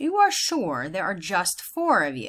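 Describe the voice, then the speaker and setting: A woman's put-on character voice, medium in pitch, at a fairly slow pace. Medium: read story. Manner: imperious, regal.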